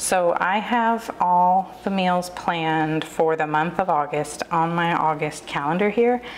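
A woman speaks at a fairly slow pace and a fairly low pitch with ordinary pitch variation, over light background noise. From US South. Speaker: lifestyle YouTuber. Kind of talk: tutorial. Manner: casual, filler-heavy.

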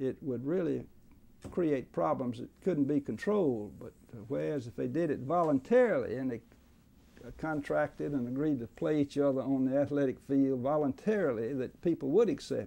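This man speaks in an Alabama accent. His pitch is fairly high and his tone is dark and mellow. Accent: Southern US (Alabama). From central Alabama, US South. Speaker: veteran trial lawyer. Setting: law office. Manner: repeats words as he gathers thoughts, chuckles at old courtroom stories. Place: office.

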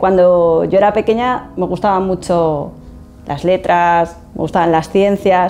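Over faint background music, a woman speaks at a fairly slow pace, her pitch fairly low and her intonation fairly even. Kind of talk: interview answer. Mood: warm, reminiscing, some laughs. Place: office.

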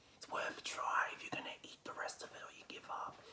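Loud background noise runs under this clip. The voice belongs to a man. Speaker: vlogger. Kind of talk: casual vlog chat. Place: home room. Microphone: phone near.

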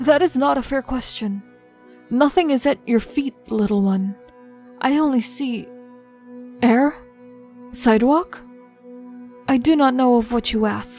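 A put-on character voice, female-sounding, wheezy and high-pitched, at a moderate pace with long, frequent pauses over faint music in the background. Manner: theatrical, mystical, cryptic.

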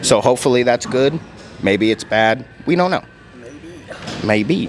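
A man's voice with faint music in the background. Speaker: fitness vlogger. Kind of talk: casual vlog chat. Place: meeting room. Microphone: handheld.

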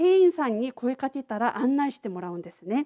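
A woman's dark, mellow voice with a Korean accent and very wide pitch swings, dry and close with no echo. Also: quiet background. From South Korea, Busan. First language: Korean (speaking Japanese). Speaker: international exchange coordinator giving a lecture. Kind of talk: lecture. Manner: casual, filler-heavy.

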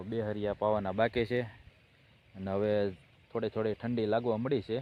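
Fairly low-pitched male voice with monotone, flat intonation. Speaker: farmer and vlogger. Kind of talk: casual vlog narration. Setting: outdoors on a farm at night.

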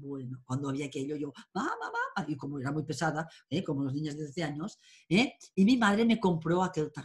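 Against a quiet background, a woman with a very deep, low pitch speaks at a fairly quick pace, somewhat breathy and with lively intonation. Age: 50s. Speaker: tarot and astrology teacher; tarot reader, interviewee. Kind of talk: interview. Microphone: webcam.

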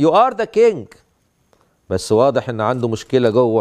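The background is silent. Against it, a man speaks at a moderate pace. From Egypt. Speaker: bishop teaching a theology class. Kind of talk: lecture. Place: church.

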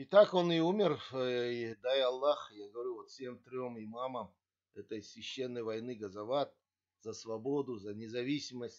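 Against a quiet background, a man speaks at a fairly slow pace with ordinary pitch variation and big swings in loudness. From Kazakhstan. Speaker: video blogger. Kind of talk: history talk to camera, partly read. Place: home room. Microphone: webcam.

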